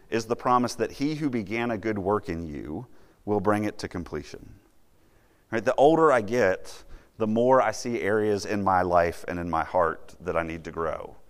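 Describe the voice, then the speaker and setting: With a fairly low pitch and lively intonation, a man talks at a moderate pace in a normal speaking voice. The recording is very clean, with a silent background. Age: 30s. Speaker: campus minister. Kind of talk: sermon.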